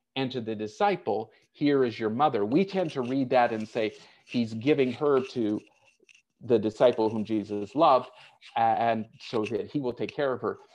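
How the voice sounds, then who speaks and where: A man's unremarkable speaking voice at a medium pitch and moderate pace, with ordinary pitch variation. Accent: American. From United States. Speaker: pastor. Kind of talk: sermon. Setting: online church service.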